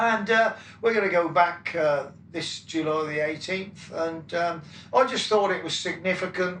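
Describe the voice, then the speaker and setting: Over noticeable background noise and audible room echo, a man with a Wiltshire accent talks fairly slowly at a high pitch. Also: ordinary pitch variation. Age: 70s. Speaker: rock drummer. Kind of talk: interview. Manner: halting, many fillers.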